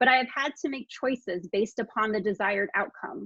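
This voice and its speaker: In a dry, close recording with no echo, a woman with a normal speaking voice and a fairly high pitch talks at a moderate pace with lively intonation. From continental US, Hawaiian heritage. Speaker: librarian. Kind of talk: conference presentation.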